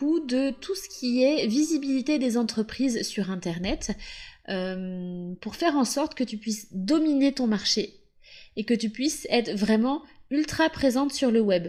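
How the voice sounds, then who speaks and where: On a very clean recording with a silent background, a woman speaks very slowly in a high voice with very wide pitch swings. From western France, Loire-Atlantique. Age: 30s. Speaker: podcast host, SEO consultant. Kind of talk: podcast monologue. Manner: casual.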